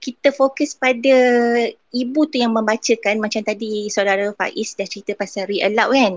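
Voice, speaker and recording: A woman's fairly high voice at a moderate pace with ordinary pitch variation, in dry, close sound with no echo. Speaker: early childhood educator. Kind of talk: casual chat.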